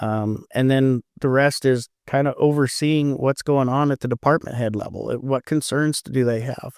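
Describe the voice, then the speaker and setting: Over a very clean recording with a silent background, a man talks at a moderate pace. He has an ordinary speaking voice at a medium pitch. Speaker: county commissioner and auctioneer. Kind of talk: podcast interview answer. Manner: casual, conversational.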